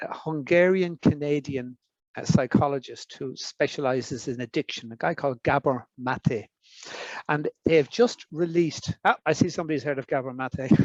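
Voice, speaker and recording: A man with an Irish accent, fairly high in pitch, at a moderate pace with ordinary pitch variation, in a dry, close sound with no echo. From Ireland. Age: 60s. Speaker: foresight expert. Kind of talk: interview. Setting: summer school with audience. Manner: halting.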